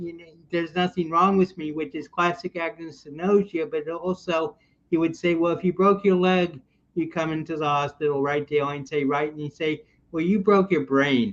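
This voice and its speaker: A man's high-pitched voice at a moderate pace, fairly even in intonation, with big swings in loudness. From US Midwest, Chicago area. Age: 60s. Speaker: military veteran and mental health advocate. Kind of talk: casual interview.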